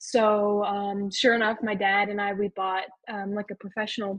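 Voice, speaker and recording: A woman speaks in an unremarkable speaking voice with a General American accent. Her pitch is medium and her pace fairly slow. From Arizona. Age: 18. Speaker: race car driver. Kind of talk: podcast interview. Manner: casual, many fillers.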